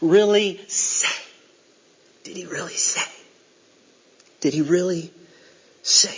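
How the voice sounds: In a put-on character voice with hissing, the speaker uses a middle pitch at a fairly slow pace, with long, frequent pauses.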